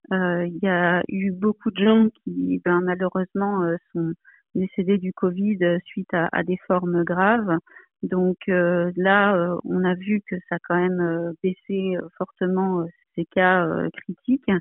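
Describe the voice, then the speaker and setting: Her pace is very slow. This woman speaks at a medium pitch in a monotone, flat way. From Provence, southern France. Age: 40s. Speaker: aeronautical engineer. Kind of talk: interview. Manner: hesitant, many fillers.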